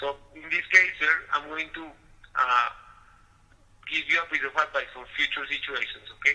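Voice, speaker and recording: A fairly high-pitched man talks at a moderate pace with fairly even intonation, big swings in loudness and long, frequent pauses. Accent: Spanish. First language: Spanish. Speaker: customer service agent. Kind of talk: customer service phone call. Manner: hesitant with fillers.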